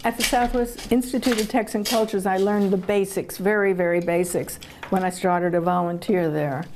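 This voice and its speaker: Someone speaks at a fairly quick pace with an American accent, very even loudness and ordinary pitch variation. Noticeable background noise runs underneath. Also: woman, medium pitch for a woman. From Brooklyn, New York. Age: 80s+. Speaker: retired Air Force colonel. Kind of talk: interview answer.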